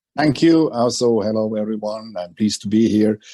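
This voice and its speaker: A man with a Swiss accent talks at a moderate pace, his medium-pitched voice dark and mellow in tone. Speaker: aviation finance banker. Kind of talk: panel introduction.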